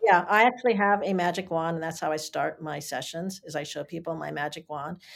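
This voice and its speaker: This is a plain, everyday voice. A woman speaks at a fairly quick pace and fairly low pitch, with ordinary pitch variation. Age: 60s. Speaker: learning coach and educator. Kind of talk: interview, explanatory conversation.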